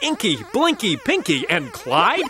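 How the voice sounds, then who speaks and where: Music plays in the background. The voice is raised and projected. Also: man. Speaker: voice-over artist. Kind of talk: video game trailer voice-over.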